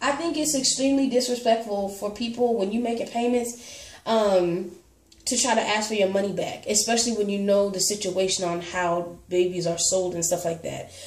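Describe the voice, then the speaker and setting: Amid noticeable background noise and audible room echo, a woman talks at a medium pitch with ordinary pitch variation. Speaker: reborn doll collector vlogger. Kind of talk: casual chat. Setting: home. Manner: fast.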